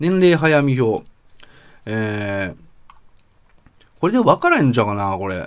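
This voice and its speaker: Pausing long and often, a man talks at a fairly slow pace and medium pitch with very wide pitch swings. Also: big swings in loudness. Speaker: podcast host. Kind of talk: casual monologue.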